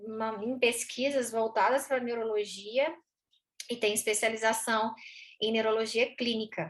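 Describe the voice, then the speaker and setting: This woman's voice is fairly high, her intonation fairly even, and her delivery fairly slow. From Goiás, central Brazil (Goiânia). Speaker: veterinary neurologist and university professor. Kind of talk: educational conversation.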